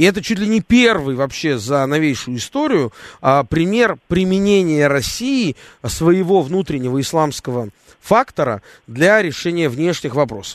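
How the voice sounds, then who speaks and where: A fairly high-pitched man's voice with very wide pitch swings. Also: fairly slow pace. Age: 30s. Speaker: radio host. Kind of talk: talk radio.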